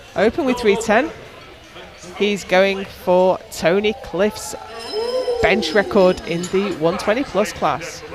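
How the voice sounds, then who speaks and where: Against music in the background, the speech moves at a very slow pace with long, frequent pauses. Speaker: powerlifting commentator. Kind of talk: live commentary.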